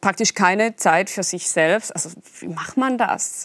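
A woman with a Swiss German accent and a medium-pitched voice is heard in a dry, close sound with no echo. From eastern Switzerland. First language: Swiss German (speaking German). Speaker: novelist. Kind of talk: interview. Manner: halting.

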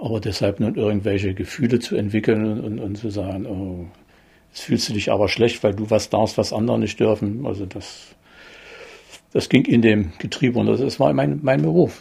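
This man's voice is fairly low in pitch and somewhat breathy. His tone is dark and mellow. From eastern Germany, Börde (Saxony-Anhalt). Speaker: retired economic planner. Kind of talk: interview. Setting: at home. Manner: halting.

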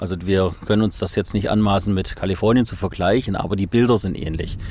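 A man speaks at a medium tempo in a somewhat deep voice, with a normal amount of pitch movement. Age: 50s. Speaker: volunteer fire chief. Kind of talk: interview testimony. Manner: halting.

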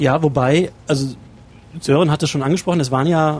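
Very fast speech from a man, fairly high in pitch, with ordinary pitch variation. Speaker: journalist, regional studio head. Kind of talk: interview. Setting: in a bus and outdoors.

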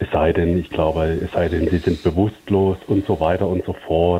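His voice sits very deep and low. The man's intonation remains fairly even. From Stuttgart, southwest Germany. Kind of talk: voicemail question. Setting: phone voicemail.

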